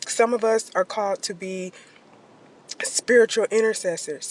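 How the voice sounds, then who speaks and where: Over noticeable background noise, a woman talks in a fairly high pitch with ordinary pitch variation. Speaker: social media creator. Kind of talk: casual vlog monologue. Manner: conversational, with filler words.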